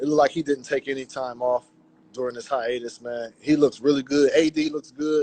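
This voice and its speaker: A man with a plain, everyday voice speaks in an American accent at a moderate pace. His pitch is fairly high, and the sound is dry and close with no echo. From Fresno, California. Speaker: NBA reporter. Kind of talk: casual chat. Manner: relaxed.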